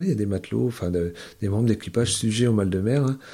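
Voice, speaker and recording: A man with a dark, mellow tone speaks at a moderate pace with ordinary pitch variation, in a very clean recording with a silent background. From Brittany, island of Molène. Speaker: ferry captain. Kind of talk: interview testimony.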